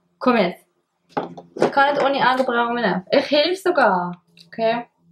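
A woman with a high pitch talks at a fairly slow pace, her intonation lively, with noticeable background noise behind her. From Switzerland. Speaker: makeup YouTuber. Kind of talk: casual couple video banter. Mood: playful, teasing. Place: home room. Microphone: camera far.

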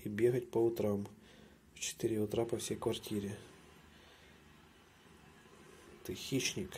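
A man speaks at a very slow pace, his voice somewhat breathy. Long pauses come often, over light background noise. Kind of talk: casual talk to a pet. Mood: playful, teasing. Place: bathroom. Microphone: phone near.

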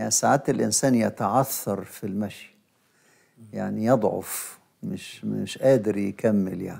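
A man talks with an Egyptian accent over a quiet background, his loudness swinging widely. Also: moderate pace. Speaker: bishop and liturgy professor; bishop, liturgy professor. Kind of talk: religious teaching talk show. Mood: calm, explanatory. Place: studio.

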